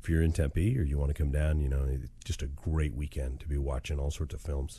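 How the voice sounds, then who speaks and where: A man's very deep, low voice, somewhat breathy, in a monotone, flat delivery. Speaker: writing podcast host and novelist. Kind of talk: casual spoken update to listeners. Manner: conversational with frequent fillers.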